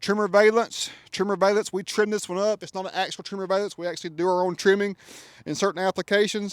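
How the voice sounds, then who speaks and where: With a Southern US accent, a man talks at a fairly quick pace and a high pitch. The sound is dry and close, with no echo. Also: very clean recording, silent background. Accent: Southern country. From US South, Georgia. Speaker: custom truck shop owner and reviewer. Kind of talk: product walkaround review. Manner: animated. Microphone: new mic.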